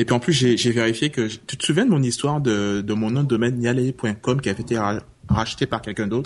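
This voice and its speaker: At a moderate pace, a man with medium pitch speaks using lively intonation. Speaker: tech podcaster. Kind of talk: casual chat. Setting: remote call.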